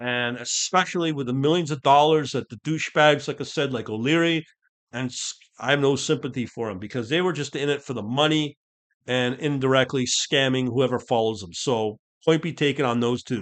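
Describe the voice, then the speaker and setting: A man's ordinary speaking voice at a medium pitch, with ordinary pitch variation, a fairly quick pace and a quiet background. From Canada. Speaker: podcast host, crypto trader. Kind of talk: solo podcast monologue. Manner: casual, with many fillers and restarts.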